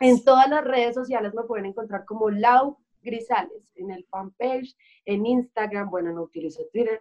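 A woman with an unremarkable speaking voice talks at a moderate pace and fairly high pitch, with ordinary pitch variation and big swings in loudness. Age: 20s. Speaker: singer. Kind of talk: interview.

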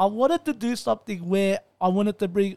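A man with an Australian accent at a moderate pace, on a very clean recording with a silent background and a dry, close sound with no echo. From Melbourne, Australia. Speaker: podcast host. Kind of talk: casual interview. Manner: hesitant, many fillers and repetitions.

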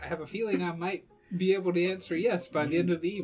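In a nasal, put-on character voice at a middle pitch, someone talks at a very fast pace over faint music in the background. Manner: polite, cautious, earnest.

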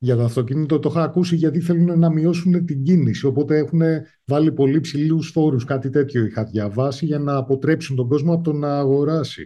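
Fairly high in pitch and somewhat breathy, the man talks at a fairly quick pace with hardly any pauses. His intonation stays fairly even. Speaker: podcast host. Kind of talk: casual interview.

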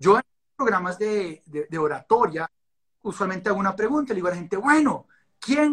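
This man's tone comes across bright and sharp. His intonation is lively. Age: 40s. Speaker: life and results coach. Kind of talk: interview. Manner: talkative, long explanations.

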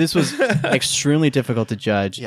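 An unremarkable speaking voice with ordinary pitch variation and a moderate pace on a very clean recording with a silent background. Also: man. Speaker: podcast guest. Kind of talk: casual chat.

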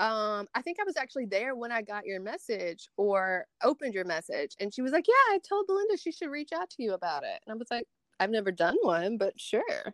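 With a Southern US accent, a woman talks at a fairly quick pace with hardly any pauses and very wide pitch swings. Her pitch is fairly high, and the sound is dry and close with no echo. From Tupelo, Mississippi, US South. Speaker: beauty influencer and makeup artist. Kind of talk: casual chat.

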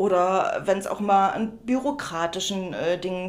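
Over noticeable background noise, a woman speaks at a medium pitch with ordinary pitch variation. Room echo can be heard. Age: 30s. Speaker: upcycling artist. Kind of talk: interview.

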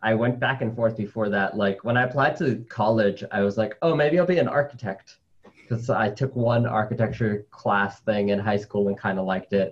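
Somewhat breathy and very even in loudness, a man speaks with an American accent. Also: medium pitch for a man, ordinary pitch variation, moderate pace. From New York City. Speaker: spider scientist. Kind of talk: interview. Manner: animated.

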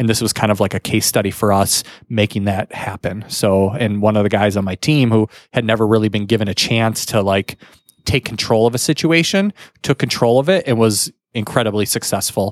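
This man has a normal speaking voice, pitched fairly low, moving at a fairly quick pace with ordinary pitch variation. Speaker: podcast co-host. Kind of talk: casual conversational podcast.

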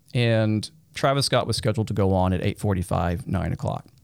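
This is a man with a fairly low pitch and an unremarkable speaking voice. He moves along at a fairly quick pace. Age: 40s. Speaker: tech executive, concert eyewitness. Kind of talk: interview testimony.

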